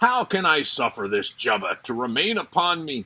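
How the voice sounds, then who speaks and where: Putting on a character voice, a man speaks fairly high at a moderate pace, his pitch swinging very widely. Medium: read story. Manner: regal, good-humored.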